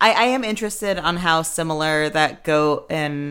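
Over a very clean recording with a silent background, a woman with an ordinary speaking voice talks at a moderate pace, her fairly low pitch rising and falling in lively intonation. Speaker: podcast host. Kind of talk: casual chat.

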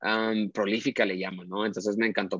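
A man talks at a fairly quick pace in a fairly low, monotone, flat voice, with a dry, close sound and no echo. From Mexico, Monterrey. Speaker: fashion photographer. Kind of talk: interview. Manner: hesitant, many fillers.

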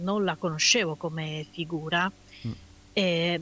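Here a woman speaks at a very slow pace. The recording is very clean, with a silent background. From Italy, Udine (Friuli). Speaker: radio co-host. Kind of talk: casual chat. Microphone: voice cutting out, poor headset or mic.

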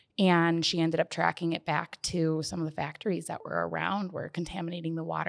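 Very fast and in an American accent, a woman speaks with a fairly low pitch and monotone, flat intonation. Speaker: podcast co-host. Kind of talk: casual chat.

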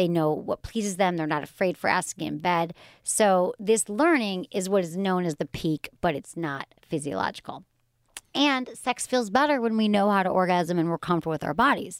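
A woman with a plain, everyday voice speaks at a moderate pace and medium pitch, her intonation lively, on a very clean recording with a silent background. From Michigan, US. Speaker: sex and relationships podcast host. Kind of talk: casual chat.

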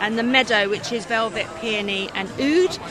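Fairly high-pitched female speech at a moderate pace, ordinary in pitch variation, against noticeable background noise. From Surrey, England. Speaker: candle maker. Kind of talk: casual interview. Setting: gift fair.

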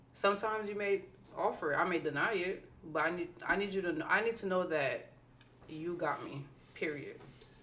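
Amid audible room echo, a woman speaks fairly quickly at a medium pitch with ordinary pitch variation. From New Jersey, Irvington. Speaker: podcast co-host. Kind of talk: casual chat.

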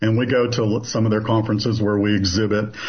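In an American accent, a man talks with a fairly low pitch, a somewhat breathy quality and monotone, flat intonation. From US South, southeastern Kentucky. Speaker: business owner, consulting company CEO. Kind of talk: interview.

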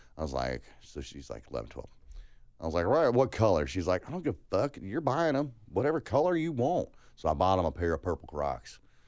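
A man with an American accent talks fairly quickly at a fairly low pitch with vocal fry and very wide pitch swings, against a quiet background. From California and Alabama. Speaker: podcast co-host. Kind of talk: casual chat.

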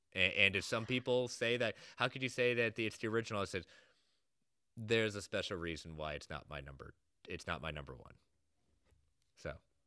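In a very clean recording with a silent background, a man with a fairly low pitch, vocal fry and a bright, sharp tone talks at a fairly quick pace with lively intonation, big swings in loudness and long, frequent pauses. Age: 30s. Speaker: film podcast guest. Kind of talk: casual chat.

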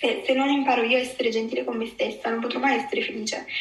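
Over noticeable background noise and audible room echo, a high-pitched woman talks at a very fast pace with lively intonation. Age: 20s. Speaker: eating disorder survivor. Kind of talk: testimony. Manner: halting.

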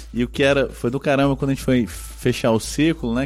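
A man talking at a fairly quick pace. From Brazilian Northeast. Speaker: business consultant. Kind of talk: casual interview chat.

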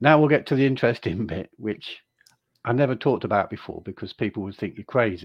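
A man's medium-pitched voice with an English accent, very fast pace, big swings in loudness and ordinary pitch variation. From England. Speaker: author. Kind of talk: casual interview. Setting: video call.

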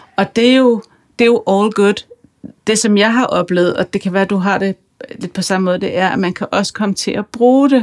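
In an ordinary speaking voice, a woman talks at a moderate pace with medium pitch and fairly even intonation, the sound dry and close with no echo. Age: 40s. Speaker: podcast host and author. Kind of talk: interview conversation; scripted introduction.

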